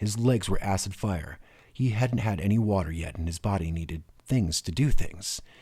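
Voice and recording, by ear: Natural-voiced reading aloud, lively in intonation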